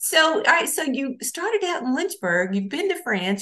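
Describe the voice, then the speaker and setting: With a Southern US accent, a woman talks at a moderate pace. Her pitch swings very widely. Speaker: college radio host. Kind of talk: interview. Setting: radio studio.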